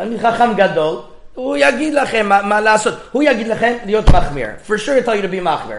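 A man speaks at a high pitch and a fairly slow pace. Noticeable background noise runs underneath. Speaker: rabbi teaching a Torah class. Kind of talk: lecture.

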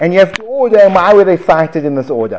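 The speaker has a South African accent and lively intonation. Background noise is noticeable. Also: man. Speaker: Gemara teacher. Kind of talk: lecture. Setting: classroom with audience.

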